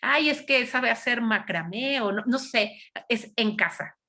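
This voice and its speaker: The voice is loud, with a bright, sharp tone. Its pitch variation is ordinary. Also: woman. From Mexico City. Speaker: psychologist and lecturer. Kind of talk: lecture.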